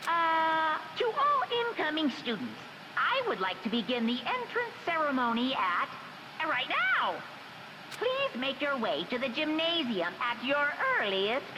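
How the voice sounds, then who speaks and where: A high, playful, put-on character voice moves at a moderate pace. Loud background noise runs underneath. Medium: video game. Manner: playful, unconcerned.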